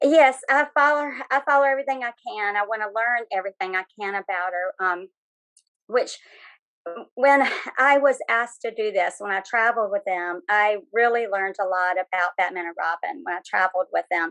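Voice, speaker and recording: Bright and sharp in tone, a woman speaks with a Southern US accent and lively intonation in a dry, close sound with no echo. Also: fairly high pitch for a woman, moderate pace. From North Carolina, US South. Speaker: author and former live Batgirl performer. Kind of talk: interview. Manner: hesitant, many fillers.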